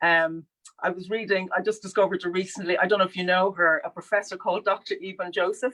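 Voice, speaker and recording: A woman with an Irish accent, medium pitch and a bright, sharp tone, talking at a very fast pace. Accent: clearly Irish. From Dublin, Ireland. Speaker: sculptor. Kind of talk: live conversation. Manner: animated, some stammering.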